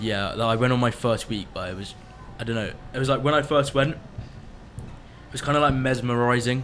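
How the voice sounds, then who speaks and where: A man with a British accent at a medium pitch, moderate pace and fairly even intonation, against noticeable background noise. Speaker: radio host at summer camp. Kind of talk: casual radio show chat. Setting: studio.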